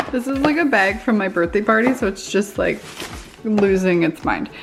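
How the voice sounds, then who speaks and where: Woman with a Canadian accent at a medium pitch, with noticeable background noise. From Canada. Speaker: lifestyle vlogger. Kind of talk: casual vlog chat. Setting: home studio.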